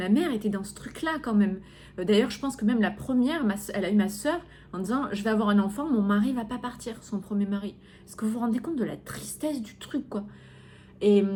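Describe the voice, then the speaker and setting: In a fairly high, somewhat breathy voice with a dark, mellow tone, a woman talks at a fairly quick pace with ordinary pitch variation and big swings in loudness. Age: 30s. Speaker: podcast host and coach. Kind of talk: personal podcast monologue. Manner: hesitant, many fillers.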